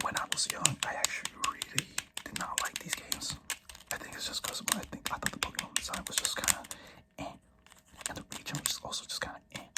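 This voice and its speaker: A whispering voice keeps a moderate pace while noticeable background noise sits behind it. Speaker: ASMR creator. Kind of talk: ASMR rambling about game collection. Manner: soft-spoken.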